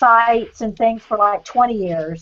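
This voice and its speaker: Her voice is high-pitched with ordinary pitch variation, a woman speaking in a Southern US accent. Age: old. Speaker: artist's fan and viewer. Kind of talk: casual chat.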